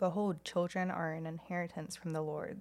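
A woman talks at a moderate pace in a normal speaking voice. Her pitch is fairly low. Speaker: podcast co-host. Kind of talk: casual chat.

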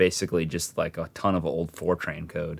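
In a very clean recording with a silent background, a man with an American accent speaks in a very deep, low pitch and a monotone, flat intonation. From Arizona (Tucson). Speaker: analytics and data science professional, Luke's cousin. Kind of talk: casual chat. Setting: room on a family trip, in person.

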